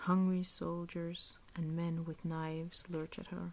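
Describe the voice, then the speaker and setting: A soft-spoken woman whispering at a fairly slow pace. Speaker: ASMR reader. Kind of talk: soft-spoken ASMR book reading. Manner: soft-spoken, whispery, relaxing.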